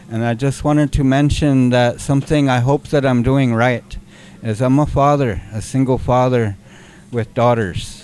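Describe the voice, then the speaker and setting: A man speaks in a normal speaking voice at medium pitch, with fairly even intonation and a moderate pace. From US Great Plains, raised among the Lakota. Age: 60s. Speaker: community organizer. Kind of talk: audience comment in a workshop discussion.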